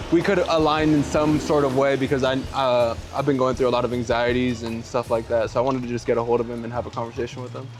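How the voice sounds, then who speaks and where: Over background music, a man speaks very fast at a medium pitch with fairly even intonation. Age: 20s. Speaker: guest on a personal development video. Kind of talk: casual conversation, personal story.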